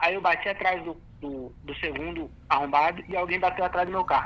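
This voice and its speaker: A man speaks at a high pitch. Noticeable background noise runs underneath. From Brazil, Francisco Morato (São Paulo). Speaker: musician. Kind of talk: casual chat. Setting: phone call.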